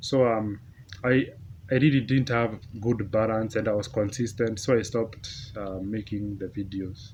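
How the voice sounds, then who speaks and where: Somewhat breathy, a man's fairly low voice moves at a moderate pace with fairly even intonation. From Africa. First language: an African language. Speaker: YouTuber. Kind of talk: casual vlog monologue. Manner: halting.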